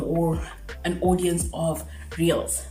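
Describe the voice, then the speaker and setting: A woman talks amid noticeable background noise, with audible room echo in the space. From South Africa. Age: 20s. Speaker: YouTuber. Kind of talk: casual Q&A vlog. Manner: talkative, words sometimes slur.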